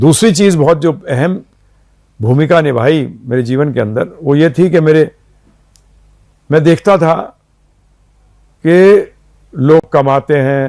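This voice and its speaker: A dark, mellow tone with ordinary pitch variation and long, frequent pauses. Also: man, fairly high pitch for a man. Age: 60s. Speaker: spiritual teacher. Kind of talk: interview.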